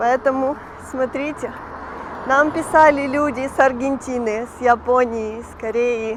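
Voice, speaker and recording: Against noticeable background noise, a woman with a high pitch speaks fairly slowly and with fairly even intonation. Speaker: vlogger. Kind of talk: walking vlog narration. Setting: outdoors, walking the streets.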